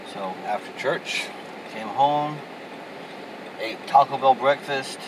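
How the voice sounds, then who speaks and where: A man's fairly high-pitched voice at a very slow pace, over noticeable background noise. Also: ordinary pitch variation. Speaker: vlogger. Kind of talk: casual vlog monologue. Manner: rambling, conversational.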